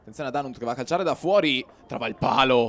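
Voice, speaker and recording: An animated man with ordinary pitch variation, amid noticeable background noise. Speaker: sports commentator. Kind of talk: live football commentary. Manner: fast, clipped play-by-play, rattling off names, with hesitant 'eh' fillers; animated, urgent on chances.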